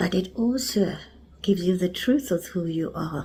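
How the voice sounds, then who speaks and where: A woman with a South African accent speaks in a somewhat breathy voice with a dark, mellow tone. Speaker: spiritual teacher. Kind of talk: spiritual talk.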